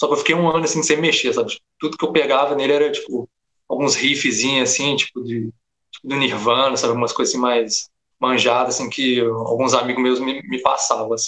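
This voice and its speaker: The man's tone is bright and sharp. He keeps his intonation fairly even. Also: medium pitch for a man, fairly quick pace. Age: 20s. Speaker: game audio student. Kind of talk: casual chat. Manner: hesitant with many fillers.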